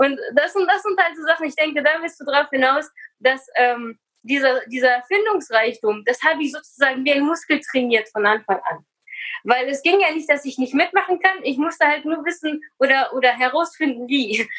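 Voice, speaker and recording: A woman talks at a moderate pace in a high pitch. Her intonation is lively. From Kazakhstan, Russian-German family, moved to Germany at eight. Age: 30s. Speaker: personal development coach and speaker. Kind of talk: interview.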